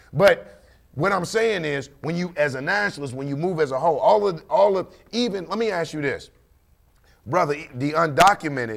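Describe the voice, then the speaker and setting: Against a quiet background, a man with a high pitch speaks in an animated tone with lively intonation at a fairly quick pace. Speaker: talk show panelist. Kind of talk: casual discussion. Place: studio. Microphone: studio mic.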